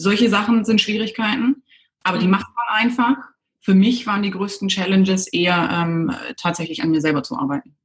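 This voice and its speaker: The woman talks at a fairly quick pace. Her pitch sits in the medium range, with ordinary variation. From southwest Germany, near Stuttgart. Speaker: cosmetics entrepreneur. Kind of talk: interview. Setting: video call. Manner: halting, many fillers.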